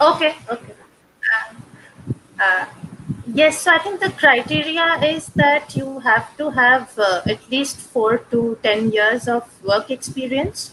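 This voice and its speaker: A woman's high-pitched, raised and projected voice with a Bengali accent, very wide pitch swings and a very slow pace over noticeable background noise. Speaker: past fellow. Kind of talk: webinar discussion.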